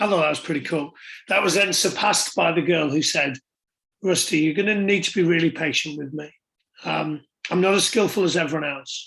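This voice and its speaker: Bright, sharp tone at a fairly quick pace with ordinary pitch variation. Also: man, high pitch for a man, quiet background. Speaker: youth sports coach. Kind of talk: online conference talk.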